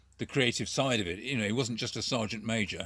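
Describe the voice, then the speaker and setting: A man speaks at a medium pitch with a bright, sharp tone and ordinary pitch variation. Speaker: puppeteer and former street performer. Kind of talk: casual interview chat. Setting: video call.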